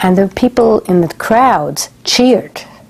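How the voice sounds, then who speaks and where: A woman talks while noticeable background noise carries on. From Germany, Frankfurt. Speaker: Holocaust survivor. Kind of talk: testimony.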